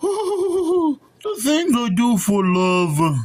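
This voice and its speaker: A put-on character voice at a fairly high pitch swings very widely up and down. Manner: nervous, fearful.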